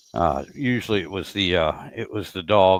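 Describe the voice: Recorded dry and close with no echo, a man speaks with ordinary pitch variation.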